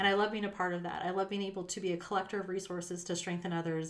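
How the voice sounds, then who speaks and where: In a Western US accent, a woman speaks at a medium pitch with fairly even intonation. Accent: General American (western US). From Las Vegas, Nevada. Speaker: accountant / nonprofit finance executive. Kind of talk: casual chat.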